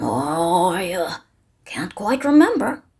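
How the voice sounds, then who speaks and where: A put-on character voice that sounds female, raspy and at a middle pitch, swings very widely in pitch. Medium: read story.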